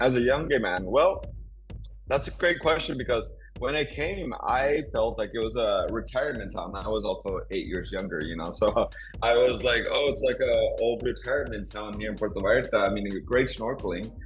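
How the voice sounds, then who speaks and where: A man speaks with audible room echo while music plays in the background. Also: moderate pace. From Texas and Monterrey, Mexico. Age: 30s. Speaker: entrepreneur. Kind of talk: interview.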